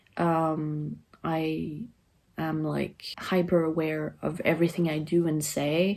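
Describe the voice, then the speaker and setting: Very slowly and in a monotone, flat intonation, a woman with a French accent speaks at a very deep, low pitch. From France. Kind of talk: personal vlog monologue. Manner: flat affect.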